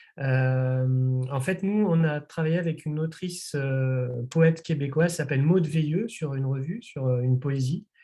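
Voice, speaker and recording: A man talks at a fairly slow pace with hardly any pauses, his pitch fairly high and his pitch variation ordinary. His tone is dark and mellow, and somewhat breathy. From France, Nantes. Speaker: publisher. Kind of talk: interview. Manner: hesitant, many fillers.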